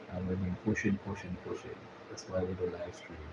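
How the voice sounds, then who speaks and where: Over noticeable background noise, a man with a Jamaican accent speaks in a very deep, low pitch with monotone, flat intonation. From Jamaica, Kingston. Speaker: YouTube live streamer. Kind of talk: live stream chat. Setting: live stream.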